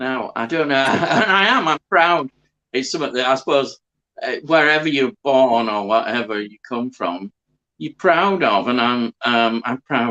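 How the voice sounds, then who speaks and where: A medium-pitched man with a bright, sharp tone and lively intonation, fairly slow in pace, in a dry, close sound with no echo. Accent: Yorkshire. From Yorkshire, northern England. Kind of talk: casual chat.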